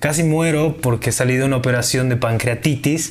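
Audible room echo surrounds a man whose somewhat breathy voice moves at a moderate pace. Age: 20s. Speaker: entrepreneur and university student. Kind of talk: casual interview.

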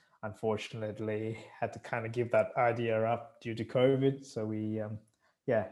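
The speaker has an Australian accent and a flat, monotone delivery at a moderate pace. The recording is very clean, with a silent background. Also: man. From Sri Lanka, raised in Australia. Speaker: pilot and expat. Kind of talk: interview.

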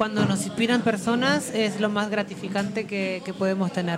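A woman at a moderate pace with fairly even intonation, noticeable background noise and audible room echo. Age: 30s. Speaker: model. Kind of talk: casual chat.

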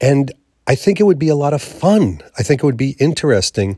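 Here is a man with a plain, everyday voice and lively intonation, talking at a moderate pace. The sound is dry and close with no echo, a very clean recording with a silent background. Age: 50s. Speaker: podcast host. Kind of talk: solo vlog monologue.

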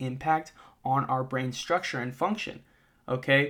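A man talks at a moderate pace in an unremarkable speaking voice, his pitch fairly high. The recording is very clean, with a silent background. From US Northeast, Massachusetts (moved around a lot). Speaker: podcast host, mental performance coach. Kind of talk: educational monologue. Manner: casual, filler-heavy (uh, okay, all right).

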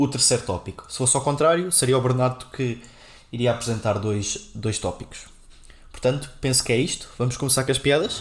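With a somewhat breathy quality, a man talks at a moderate pace and medium pitch with ordinary pitch variation. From Portugal, Castelo Branco. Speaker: software engineer, podcast co-host. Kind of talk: casual chat.

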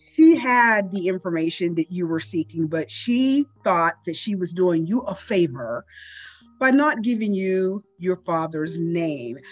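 A woman's medium-pitched voice at a fairly slow pace, with very wide pitch swings, dry close sound with no echo, and music in the background. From US, Pittsburgh area. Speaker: podcast host. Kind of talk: interview; scripted narration.

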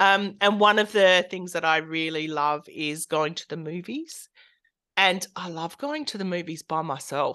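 A woman with an Australian accent and a bright, sharp tone speaks at a fairly low pitch and fairly slow pace, with ordinary pitch variation and big swings in loudness, against a quiet background. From rural South Australia. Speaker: art therapist and counsellor. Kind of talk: interview conversation.

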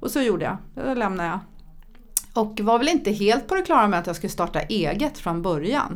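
The voice moves at a fairly quick pace with very wide swings in pitch. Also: woman, medium pitch for a woman. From Sweden, childhood partly in Thailand. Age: 50s. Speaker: entrepreneur and public speaker. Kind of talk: podcast interview. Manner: animated.

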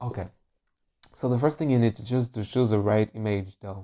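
A man's medium-pitched voice with a French accent, a dark, mellow tone and fairly even intonation, in a dry, close sound with no echo on a very clean recording with a silent background. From France. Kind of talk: casual solo podcast, coaching-style talk. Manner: informal, laughs often, rambling.

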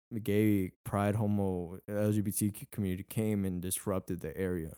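Dark and mellow in tone, a man's fairly low voice moves at a moderate pace. His intonation is monotone and flat, and the sound is dry and close with no echo. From Mexican-American, Houston, Texas. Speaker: podcast co-host. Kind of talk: casual chat.

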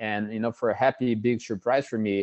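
A man's fairly low voice, monotone and flat, with a Portuguese accent. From Brazil. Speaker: physical therapist. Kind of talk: interview.

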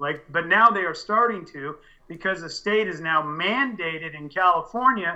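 A man's high-pitched voice with a bright, sharp tone, ordinary pitch variation and a moderate pace, against a quiet background. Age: 50s. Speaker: cannabis grower and soil business owner. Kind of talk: casual interview. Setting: Skype call.

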